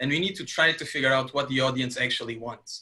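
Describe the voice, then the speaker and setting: A man speaks with a Portuguese accent. His medium pitch comes with a bright, sharp tone. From Portugal. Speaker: webinar host and digital content lead. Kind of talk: webinar presentation. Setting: online webinar.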